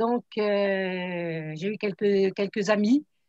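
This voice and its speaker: Dry and close, this woman's voice carries no echo at all. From France, Troyes. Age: 70s. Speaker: product distributor. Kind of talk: testimony.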